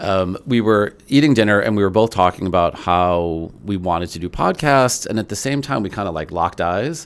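In an American accent, a man with an unremarkable speaking voice talks at a moderate pace and a fairly low pitch, with lively intonation. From Chicago area, US Midwest. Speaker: food and drink journalist. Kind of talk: casual chat.

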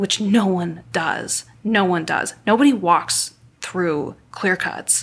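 Noticeable background noise sits behind this woman as she talks at a medium pitch. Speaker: botanical illustrator and trekker. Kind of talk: interview recounting experiences.

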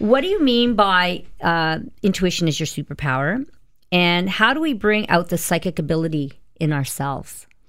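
A woman with a Canadian accent speaks at a moderate pace in a fairly low pitch, her intonation lively. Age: 30s. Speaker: radio host. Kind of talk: radio interview. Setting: radio studio.

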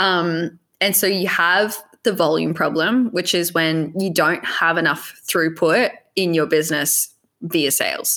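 A woman speaks at a fairly slow pace with an Australian accent. Her pitch sits fairly low and varies in an ordinary way. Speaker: e-commerce business coach. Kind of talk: casual interview chat.

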